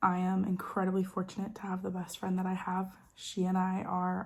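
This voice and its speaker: A woman's somewhat breathy voice at a medium pitch. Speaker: lifestyle vlogger. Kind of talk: casual chat. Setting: at home in dining room. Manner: stutters at times.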